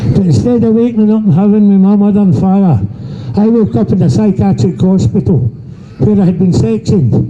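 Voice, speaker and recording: With a high pitch, lively intonation and very even loudness, a man speaks at a fairly quick pace over noticeable background noise. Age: 70s. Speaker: abuse survivor speaking at a protest. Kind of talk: testimony. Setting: outdoors.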